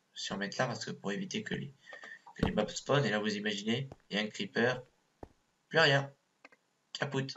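The speaker moves at a moderate pace with lively intonation, broken by long, frequent pauses. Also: man, medium pitch for a man. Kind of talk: gameplay commentary. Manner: hesitant.

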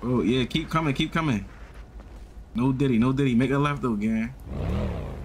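At a moderate pace, a man speaks at a medium pitch. He takes long, frequent pauses. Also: ordinary pitch variation. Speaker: gaming streamer. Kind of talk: in-character game roleplay chat. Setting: online game voice chat.

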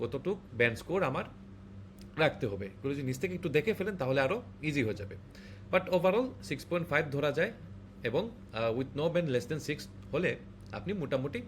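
A man's somewhat breathy voice, fairly high in pitch for a man, moves through very wide pitch swings. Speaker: IELTS tutor. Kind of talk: tutorial. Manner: casual, conversational.

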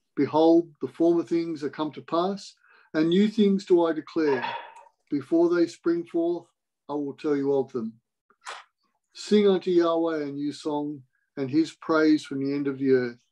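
A man talks at a fairly slow pace in a dark, mellow tone with ordinary pitch variation. Long, frequent pauses fall against a quiet background. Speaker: Bible reader in online meeting. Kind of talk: scripture reading. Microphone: video call.

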